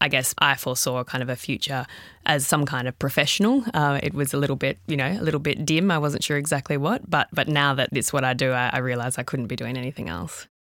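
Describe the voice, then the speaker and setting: With an Australian accent, a woman talks at a very fast pace with hardly any pauses, using a very deep, low pitch and ordinary pitch variation. The recording is very clean, with a silent background. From regional Victoria, Australia. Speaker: startup founder and CEO. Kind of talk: interview.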